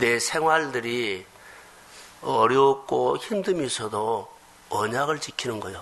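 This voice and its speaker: A man talks while noticeable background noise is heard. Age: 50s. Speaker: pastor. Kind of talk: sermon.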